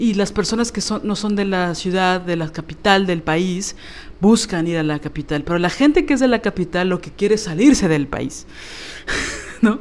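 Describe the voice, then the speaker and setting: With an ordinary speaking voice, a woman uses lively intonation, a medium pitch and a moderate pace. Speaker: podcast co-host. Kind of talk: casual chat.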